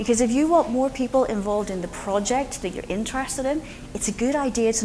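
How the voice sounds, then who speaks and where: A woman with a strong Northern Irish accent speaks fairly quickly, at a fairly high pitch with lively intonation, over noticeable background noise and audible room echo. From Northern Ireland, Belfast. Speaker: conference speaker, open source foundation president. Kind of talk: conference talk. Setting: stage with audience.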